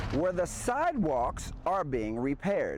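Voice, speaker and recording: There is music in the background as a man speaks at a moderate pace. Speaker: TV news reporter. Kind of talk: TV news field report.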